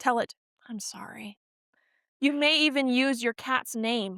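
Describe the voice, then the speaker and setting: A shrill, high-pitched woman at a fairly slow pace, recorded with a dry, close sound and no echo. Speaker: podcast co-host. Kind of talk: reading aloud how-to guide in casual chat. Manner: loud.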